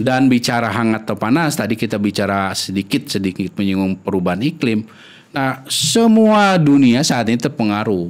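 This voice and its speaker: This man speaks at a moderate pace with ordinary variation in pitch. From Indonesia, Sundanese region (West Java); West Java, Indonesia. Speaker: epidemiologist; guest. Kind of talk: interview. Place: studio. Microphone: studio mic.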